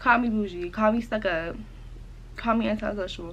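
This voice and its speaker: With an animated tone and vocal fry, a woman speaks at a moderate pace in a fairly high pitch with ordinary pitch variation. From upstate South Carolina, US South. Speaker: lifestyle content creator. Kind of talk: casual vlog, get-to-know-me Q&A. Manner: animated, chatty.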